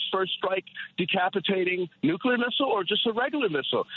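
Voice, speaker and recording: Against noticeable background noise, a man with a high pitch speaks fairly quickly with ordinary pitch variation. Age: 60s. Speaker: caller. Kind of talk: political call-in rant. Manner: rapid, run-on with repetitions.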